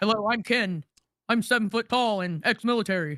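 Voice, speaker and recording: Recorded very cleanly against a silent background, a put-on character voice at a fairly high pitch moves along at a fairly quick pace. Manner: macho, chest-thumping.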